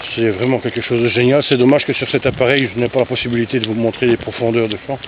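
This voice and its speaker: Against noticeable background noise, a man rattles along at a very fast pace in a medium-pitched, monotone, flat delivery. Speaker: vlogger, hiker. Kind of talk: walking vlog narration. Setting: outdoors, walking in countryside. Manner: casual, hesitant.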